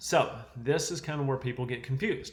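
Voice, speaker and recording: A somewhat breathy man with a Southern US accent and medium pitch. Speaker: chiropractor health educator. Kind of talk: health education talk to camera. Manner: casual, conversational.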